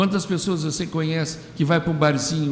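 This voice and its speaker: A man speaks at a moderate pace in a fairly high pitch, with fairly even intonation. Noticeable background noise and audible room echo are present. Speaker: radio host. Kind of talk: radio commentary monologue.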